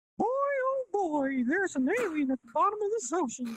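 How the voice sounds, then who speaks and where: This is a put-on character voice, squeaky and extremely high-pitched. It swings very widely in pitch at a moderate pace. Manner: cheery, comedic.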